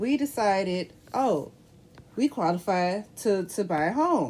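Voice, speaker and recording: Her medium pitch makes very wide swings as this woman speaks. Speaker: podcast co-host. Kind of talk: casual chat.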